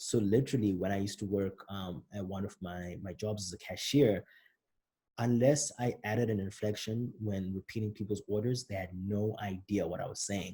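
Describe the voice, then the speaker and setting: A man with a Zimbabwean accent, fairly low in pitch, with a dark, mellow, somewhat breathy tone and fairly even intonation, on a very clean recording with a silent background. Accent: British-style Zimbabwean. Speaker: rapper explaining own album. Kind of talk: commentary on own songs. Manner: casual, conversational.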